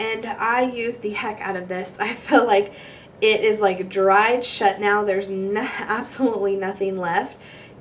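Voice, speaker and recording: A woman's fairly high voice with noticeable background noise. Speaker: beauty vlogger. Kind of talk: product review vlog. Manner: casual, chatty.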